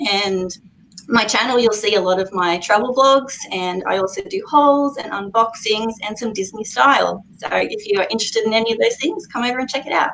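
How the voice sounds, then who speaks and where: The speaker has an Australian accent and a fairly quick pace, with ordinary pitch variation. Noticeable background noise runs underneath. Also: woman, fairly high pitch for a woman. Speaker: YouTuber, guest. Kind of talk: casual live chat.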